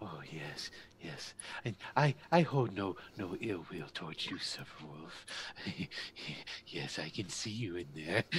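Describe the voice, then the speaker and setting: Using a put-on character voice with a very deep, low pitch, a man speaks at a fairly slow pace with long, frequent pauses over clear background noise. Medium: actual play. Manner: hissing, repetitive "yes", fawning and eerily eager.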